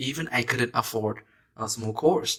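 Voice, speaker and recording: In a very clean recording with a silent background, a man speaks in a Vietnamese accent with a bright, sharp tone. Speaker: self-help YouTuber. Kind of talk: motivational talk.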